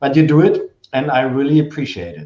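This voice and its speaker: A fairly quick pace pairs with a dark, mellow tone. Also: man. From Germany. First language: German. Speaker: novelist, former journalist. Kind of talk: virtual author talk.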